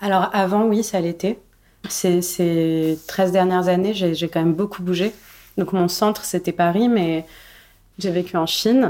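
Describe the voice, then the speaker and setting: A woman with a dark, mellow tone speaks at a fairly slow pace. Her pauses are long and frequent. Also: medium pitch for a woman. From Morocco, Casablanca. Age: 30s. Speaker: novelist. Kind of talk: interview. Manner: hesitant, frequent fillers and repetitions.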